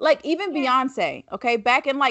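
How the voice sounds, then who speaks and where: Here is a woman with an unremarkable speaking voice and lively intonation. She moves at a moderate pace. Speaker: podcast host. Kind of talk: casual conversation.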